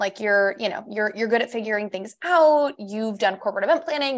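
Over a quiet background, a woman with an American accent and an unremarkable speaking voice talks fairly quickly with lively intonation. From US South, South Florida. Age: 30s. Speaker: virtual assistant trainer and business mentor. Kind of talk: casual interview chat.

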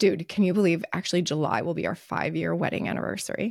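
Speech with an American accent, vocal fry and ordinary pitch variation. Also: woman, very clean recording, silent background. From US East Coast. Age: 30s. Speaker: podcast co-host. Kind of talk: casual chat. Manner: animated.

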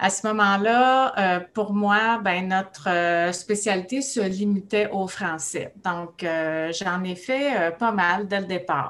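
A woman with a Quebec accent speaks at a medium pitch with ordinary pitch variation. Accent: Québécois French. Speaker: speech-language pathologist. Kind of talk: casual interview.

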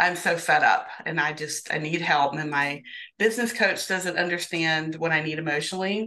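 A woman with a normal speaking voice talks at a moderate pace and a fairly low pitch, with ordinary pitch variation. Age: 50s. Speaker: therapist and business coach. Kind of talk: interview.

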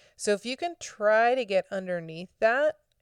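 A woman speaks with fairly high pitch, lively intonation and an animated tone, the sound dry and close with no echo on a very clean recording with a silent background. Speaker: podcast host and circus performer. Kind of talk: solo podcast monologue.

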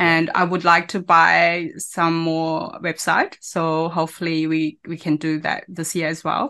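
Over a quiet background, a woman with a non-native accent speaks at a fairly slow pace, her bright, sharp tone sitting at a fairly low pitch with monotone, flat intonation. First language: not English. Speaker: online business owner and mother. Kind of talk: interview. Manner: halting.

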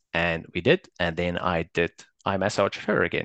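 In a bright, sharp tone with fairly even intonation, the voice has a dry, close sound with no echo against a quiet background. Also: man. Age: 30s. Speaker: engineer and husband sharing his marriage experience. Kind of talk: interview testimony. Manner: halting, many fillers and restarts.

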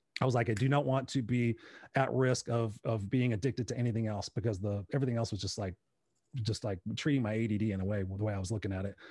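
Very fast and with an American accent, a man speaks at medium pitch in a somewhat breathy voice with a dark, mellow tone. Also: fairly even intonation, very clean recording, silent background. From Inglewood, California, US. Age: 50s. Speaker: speaker and coach. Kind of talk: interview.

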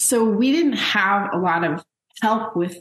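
Speaking very slowly with an American accent, a woman uses a fairly high, somewhat breathy voice with ordinary pitch variation. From Los Angeles, US. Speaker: sociology professor and author. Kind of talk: interview conversation.

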